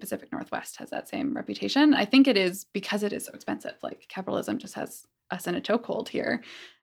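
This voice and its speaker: A woman with a Canadian accent and vocal fry, fairly high in pitch, at a very fast pace in a very clean recording with a silent background. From Calgary, Canada. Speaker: community organizer. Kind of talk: interview.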